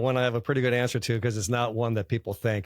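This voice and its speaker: A man speaks with fairly even intonation. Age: 60s. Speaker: bank founder and former lawyer. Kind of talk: interview. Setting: college campus conference.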